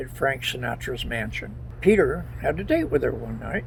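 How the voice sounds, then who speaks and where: Noticeable background noise around a moderately paced man with an American accent. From upstate New York. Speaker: comedian, magician, former undertaker. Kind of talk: interview answer.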